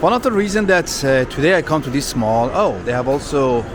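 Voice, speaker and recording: A man speaks with a non-native accent at a moderate pace, his pitch fairly high. His intonation is lively, and there is noticeable background noise. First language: not English. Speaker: vlogger. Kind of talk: walking tour vlog. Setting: shopping mall. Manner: animated.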